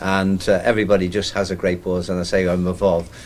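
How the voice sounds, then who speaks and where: At a moderate pace, a man with a very deep, low pitch speaks in a flat monotone, with audible room echo. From Ireland. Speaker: community radio presenter. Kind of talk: interview. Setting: launch event at town hall; radio station. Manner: hesitant, many fillers.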